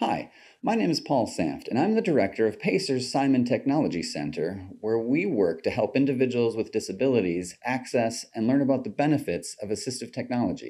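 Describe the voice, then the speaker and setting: Vocal fry marks this man's voice as he talks at a fairly quick pace with very wide pitch swings and hardly any pauses against a quiet background. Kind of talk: prepared opening remarks. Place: studio.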